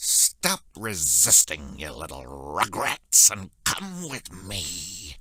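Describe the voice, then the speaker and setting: A man's put-on character voice, very deep and low, at a very slow pace with hardly any pauses. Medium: video game. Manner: clucking, bombastic.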